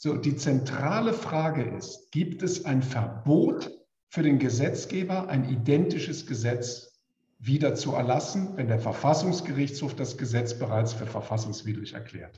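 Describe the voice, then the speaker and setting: Lively intonation in a somewhat breathy voice with audible room echo. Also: man, fairly high pitch for a man, moderate pace. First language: German. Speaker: legal expert. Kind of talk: expert panel talk. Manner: measured, with pauses for interpretation.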